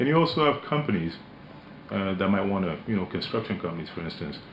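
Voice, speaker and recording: Speaking at a very fast pace, a man has a very deep, low pitch. His intonation is lively. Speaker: company managing director. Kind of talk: radio interview. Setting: radio studio.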